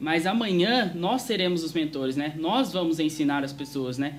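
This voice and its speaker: A man speaks at a moderate pace in a fairly high pitch with lively intonation. Audible echo fills the room around him. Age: young. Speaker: youth preacher. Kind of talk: sermon.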